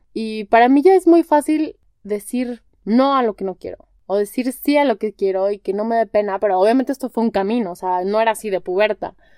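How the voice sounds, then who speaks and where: A woman at a fairly quick pace and fairly high pitch, with lively intonation and a dry, close sound with no echo. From Mexico, Guadalajara. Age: 30s. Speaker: podcast host, wellness coach in training. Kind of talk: casual solo monologue. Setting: home bedroom. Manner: animated.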